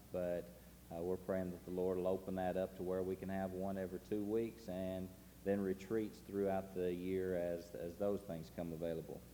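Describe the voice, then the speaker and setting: A man with a Tennessee accent speaks at a very deep, low pitch in a dark, mellow tone, with audible room echo. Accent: Southern US (Tennessee). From Tennessee, US South. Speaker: missionary. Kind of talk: testimony to a congregation. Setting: church service. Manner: casual, folksy, with frequent uh fillers.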